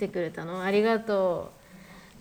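Here a woman talks at a fairly quick pace. Her pitch varies in an ordinary way. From Hokkaido. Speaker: radio host. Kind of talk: casual chat. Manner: animated.

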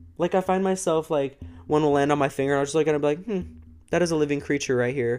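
Over music in the background, a man with a fairly high pitch talks very fast in an animated tone, with ordinary pitch variation and very even loudness. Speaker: true crime podcaster. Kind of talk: casual monologue. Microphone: close to mic, spitting.

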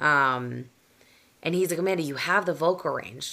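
In a very clean recording with a silent background, a raspy woman with an American accent talks fairly quickly in a very deep, low pitch, her tone bright and sharp and her pitch varying in an ordinary way. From Boston area, US. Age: 30s. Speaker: guest, content creator. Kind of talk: casual chat, joking.

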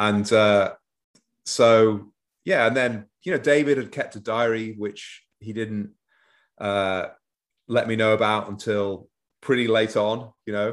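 A man with an English accent speaks at a medium pitch with fairly even intonation. His pace is very slow, with long, frequent pauses. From northwest England (Manchester). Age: 50s. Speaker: author and former foreign correspondent. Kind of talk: interview. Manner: hesitant, many fillers.

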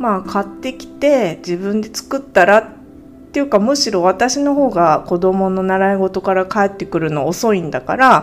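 Over music in the background, a woman talks at a fairly slow pace with medium pitch and lively intonation. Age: 40s. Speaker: podcast host, part-time homemaker. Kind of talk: casual monologue. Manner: halting, many fillers.

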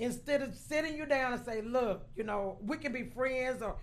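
A woman with a high-pitched voice talks at a moderate pace. Room echo is audible. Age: 60s. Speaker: host's cousin, audience member. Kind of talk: casual chat. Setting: cigar lounge.

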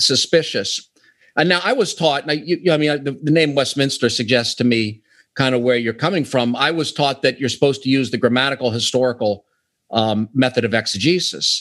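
A man with an American accent, an ordinary speaking voice, fairly high pitch with ordinary variation, and a fairly quick pace. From US, Pittsburgh. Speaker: author. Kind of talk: interview. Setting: remote call.

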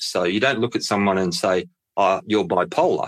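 A man speaks with an Australian accent and lively intonation. The recording is very clean, with a silent background. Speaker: mental health charity executive. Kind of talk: interview.

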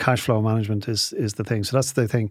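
With a very clean recording and a silent background, a man speaks in a medium-pitched voice with an Irish accent. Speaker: entrepreneur. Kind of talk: interview.

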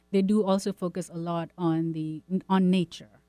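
A woman talks while music plays in the background. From India. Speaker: visual artist and art teacher. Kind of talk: radio interview. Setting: radio studio.

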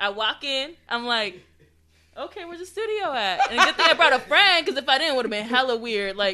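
A woman's high, raised, projected voice at a fairly quick pace, bright and sharp in tone, with very wide pitch swings, big swings in loudness and an American accent. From high desert, Southern California. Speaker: singer and rapper. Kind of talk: casual chat. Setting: studio.

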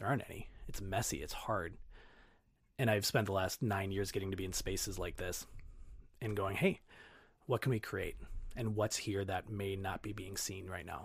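Somewhat breathy, the voice speaks with an American accent at a moderate pace, with fairly even intonation and long, frequent pauses, on a very clean recording with a silent background. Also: man, fairly low pitch for a man. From Minnesota, Twin Cities (Brooklyn Center). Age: 30s. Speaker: fitness coach and marathon runner. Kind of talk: casual interview chat.

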